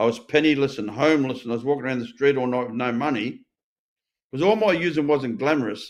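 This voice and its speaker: A man rattles off his words at a very fast pace in an Australian accent. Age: 60s. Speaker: recovered addict and ex-prisoner. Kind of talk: interview testimony. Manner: animated.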